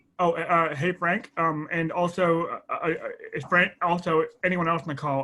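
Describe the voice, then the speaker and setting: A man's high, bright and sharp-toned voice. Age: 30s. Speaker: real estate investor. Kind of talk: casual webinar chat. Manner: halting, many fillers and repetitions.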